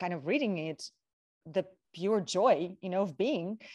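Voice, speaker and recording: A woman with a Russian accent speaks at a moderate pace against a quiet background. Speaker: model and talk show co-host. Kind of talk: casual panel chat.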